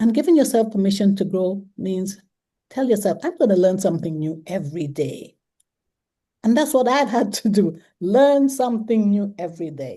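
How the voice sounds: A woman talks at a moderate pace with medium pitch and lively intonation. Her tone is dark and mellow.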